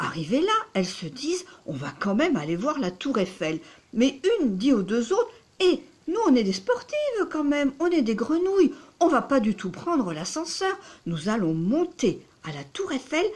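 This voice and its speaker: A woman's high voice with very wide pitch swings, a fairly slow pace and big swings in loudness. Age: 60s. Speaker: psychotherapist and dating coach. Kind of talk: storytelling to camera. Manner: hesitant, many fillers.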